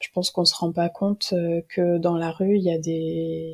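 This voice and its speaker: A woman speaks in a dark, mellow tone with monotone, flat intonation. The recording is very clean and the background silent. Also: dry, close sound with no echo. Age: 20s. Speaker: history student and archives employee. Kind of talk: casual interview about a book.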